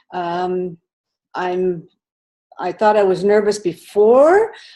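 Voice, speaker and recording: Her pitch rises and falls in a normal way. This woman's tone is dark and mellow. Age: 60s. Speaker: runner. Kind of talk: personal testimony. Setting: video call. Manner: halting.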